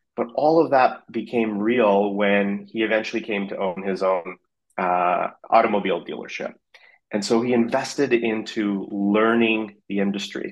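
In a Canadian accent, a man with an unremarkable speaking voice talks at a moderate pace, his fairly low pitch held in fairly even intonation. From Canada, Vancouver. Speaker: fintech company CEO. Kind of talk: interview.

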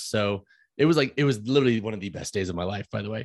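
An ordinary speaking voice with an American accent and ordinary pitch variation. The background is quiet. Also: man. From US Midwest, St. Louis, Missouri. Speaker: fitness coach and shoe reviewer. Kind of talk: casual interview chat.

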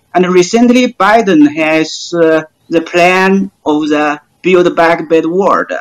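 With a Chinese accent, a high-pitched man speaks at a very slow pace with ordinary pitch variation. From China. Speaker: PhD researcher. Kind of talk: panel discussion. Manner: hesitant, many fillers.

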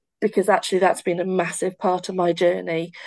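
A woman with a Welsh accent at a fairly quick pace against a quiet background. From Wales. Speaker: occupational therapist and university lecturer. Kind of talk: casual conversational interview.

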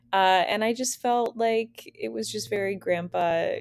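Music plays in the background as a woman speaks in a dry, close sound with no echo. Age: 40s. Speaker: style blogger and podcast host. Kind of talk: casual solo monologue. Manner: hesitant, many fillers.

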